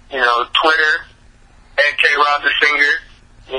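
Noticeable background noise behind a man's fairly high voice. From California, Bay Area. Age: 20s. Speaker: R&B singer and songwriter. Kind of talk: interview. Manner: halting, many fillers.

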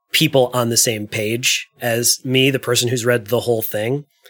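There is music in the background as a man speaks at medium pitch. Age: 30s. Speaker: game designer. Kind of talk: casual chat.

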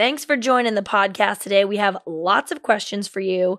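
Against a quiet background, a woman with a normal speaking voice talks at a moderate pace in a fairly high pitch. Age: 30s. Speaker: podcast host. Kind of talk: casual chat.

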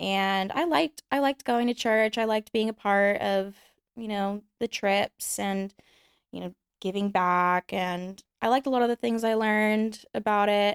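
On a very clean, dry recording with no echo and a silent background, a woman with an ordinary speaking voice and an American accent talks at a moderate pace, her medium pitch varying in an ordinary way. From Texas, Houston. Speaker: adult content creator. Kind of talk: casual chat.

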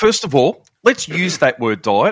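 This man speaks with an Australian accent. He keeps a moderate pace at a fairly high pitch. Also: quiet background. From Melbourne, Australia. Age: 50s. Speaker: law enforcement veteran and shift work nutrition coach. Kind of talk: casual interview chat.

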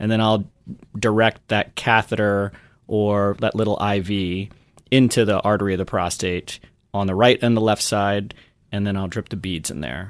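A man with a normal speaking voice and an American accent talks at a moderate pace and a fairly low pitch. His intonation is fairly even, and the recording is very clean with a silent background. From US South, New Orleans. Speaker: interventional radiologist. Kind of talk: interview.

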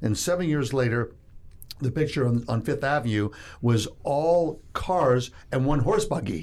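This is an ordinary speaking voice. It moves at a fairly slow pace with lively intonation. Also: man. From Toronto, Canada. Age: 60s. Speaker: investment fund executive. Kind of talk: interview. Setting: studio.

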